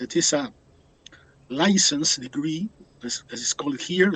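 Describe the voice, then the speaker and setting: Here a man talks with a Spanish accent. His pitch sits fairly high, with ordinary variation. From Uruguay. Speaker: biology professor. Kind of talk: interview. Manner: halting.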